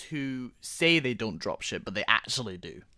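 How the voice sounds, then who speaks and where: Bright and sharp, a woman's animated voice swings very widely in pitch at a moderate pace. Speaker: podcast co-host. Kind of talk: casual chat. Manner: animated, banter.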